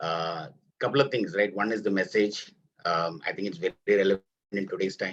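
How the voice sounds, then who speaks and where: A man's fairly low voice with ordinary pitch variation at a fairly quick pace. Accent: non-native. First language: not Kannada. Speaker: actor in a short film. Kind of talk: webinar discussion. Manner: hesitant, with fillers.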